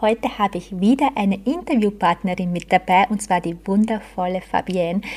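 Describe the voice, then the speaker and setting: Her tone is dark and mellow, somewhat breathy, at a medium pitch. This woman keeps a moderate pace. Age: 30s. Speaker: business coach and podcast host. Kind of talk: interview.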